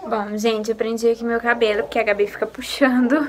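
A woman speaks with fairly even intonation. Light background noise sits behind her. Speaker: mother vlogger. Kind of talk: casual vlog chat. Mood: calm, soft-spoken.

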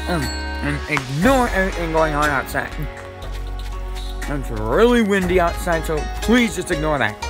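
Clear music plays behind a man's voice. He talks at a moderate pace. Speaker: gamer narrating gameplay. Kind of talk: casual gameplay commentary.

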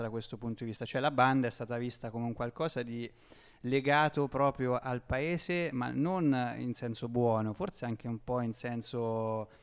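The man talks at a moderate pace, his pitch varying in an ordinary way, with a quiet background. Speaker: radio host. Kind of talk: casual radio interview. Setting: radio studio, live broadcast. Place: hall. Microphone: handheld.

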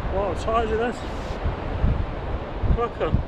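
A man talks at a slow pace. Clear background noise can be heard.

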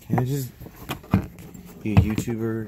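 A man with an American accent and monotone, flat intonation, in a dry sound with no echo over loud background noise. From Texas. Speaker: YouTuber vlogger. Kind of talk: casual vlog. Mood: relaxed, sometimes irritated.

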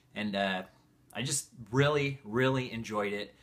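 Bright and sharp in tone, a man speaks with a Northern California accent and ordinary pitch variation. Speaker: book reviewer, video creator. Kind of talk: casual vlog chat. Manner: enthusiastic. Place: home room.

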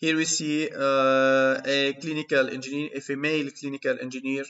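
A man's fairly high voice, monotone and flat, at a fairly slow pace. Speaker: university lecturer in biomedical engineering. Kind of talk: lecture. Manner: hesitant, frequent filler sounds.

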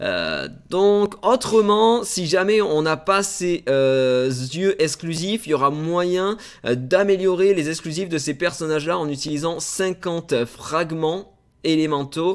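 Speaking at a very slow pace, a man with a high pitch is heard over a quiet background. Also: ordinary pitch variation. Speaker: gaming YouTuber; gaming content creator. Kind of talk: game news video. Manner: hesitant, many fillers. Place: home room.

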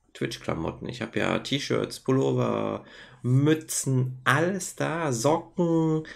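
The background stays quiet while a man talks. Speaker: vlogger and Twitch streamer; streamer vlogger. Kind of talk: casual vlog monologue. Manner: casual with many filler sounds. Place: home room. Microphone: webcam.

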